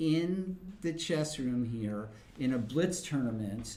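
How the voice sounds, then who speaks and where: A man speaks at a very slow pace in a dark, mellow tone with very wide pitch swings. Audible room echo is present. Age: 50s. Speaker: chess commentator. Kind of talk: live commentary; casual chat. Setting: chess club.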